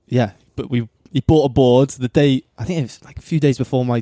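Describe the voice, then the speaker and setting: A man with a South Wales accent speaks at a medium pitch in a dark, mellow tone with fairly even intonation, in a dry, close sound with no echo on a very clean recording with a silent background. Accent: Welsh (South Wales). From South Wales, Cardiff (Penarth). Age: 20s. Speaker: pro surfer. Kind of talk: casual chat.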